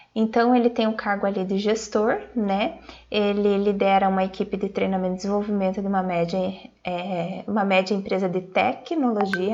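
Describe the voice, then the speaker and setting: A woman with an ordinary speaking voice talks at a moderate pace with medium pitch and fairly even intonation against a quiet background. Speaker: marketing speaker. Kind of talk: online conference talk.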